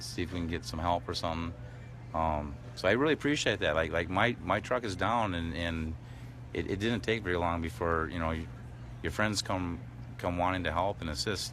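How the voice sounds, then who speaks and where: Mumbling with vocal fry, a man with a very deep, low pitch speaks amid audible room echo. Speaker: tow truck driver at protest camp. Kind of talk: live stream chat. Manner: mumbling, hesitant.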